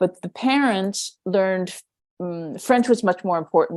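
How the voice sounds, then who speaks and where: A woman with an ordinary speaking voice, medium pitch, moderate pace and lively intonation. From New York. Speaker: podcast host, educator. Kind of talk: interview.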